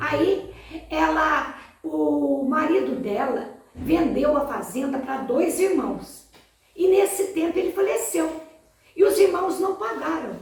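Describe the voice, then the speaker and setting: Over noticeable background noise and audible room echo, a woman speaks at a fairly slow pace with lively intonation. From Minas Gerais, Brazil (Três Pontas). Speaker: interviewee recalling family memories. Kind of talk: testimony.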